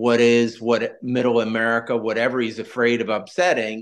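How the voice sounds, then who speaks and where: An ordinary speaking voice from a man at medium pitch, fairly slow pace, quiet background. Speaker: podcast host. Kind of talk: interview.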